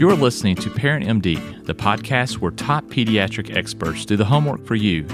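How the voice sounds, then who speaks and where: Over music in the background, a man speaks at a fairly quick pace, his fairly low pitch swinging very widely. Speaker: pediatrician, podcast host. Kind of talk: podcast interview host.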